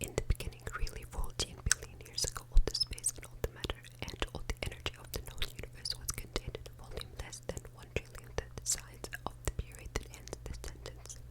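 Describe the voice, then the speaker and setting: Someone whispers at a fairly quick pace with hardly any pauses over noticeable background noise. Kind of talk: ASMR book reading to help listeners sleep. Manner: whispered, soft.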